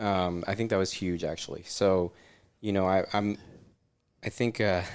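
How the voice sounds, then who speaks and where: A man in a very clean recording with a silent background, with an American accent, a very deep, low pitch, fairly even intonation, a moderate pace and long, frequent pauses. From US Southwest, Arizona (Scottsdale). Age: 30s. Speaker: chiropractor. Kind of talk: casual interview.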